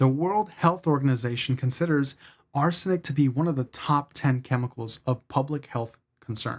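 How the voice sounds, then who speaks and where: A man's voice comes across somewhat breathy. He keeps to a moderate pace. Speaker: cookware reviewer. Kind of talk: explainer commentary to camera. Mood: concerned, measured. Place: studio.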